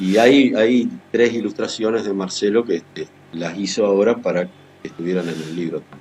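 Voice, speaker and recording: A man speaks in a fairly low pitch at a moderate pace with ordinary pitch variation. His volume swings widely. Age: 60s. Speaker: writer and journalist. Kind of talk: interview. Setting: video call.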